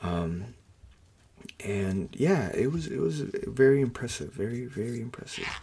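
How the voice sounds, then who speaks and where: A soft-spoken man talks with lively intonation at a moderate pace. Noticeable background noise is present. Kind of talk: soft-spoken ASMR talk to camera. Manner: soft-spoken, casual, hesitant.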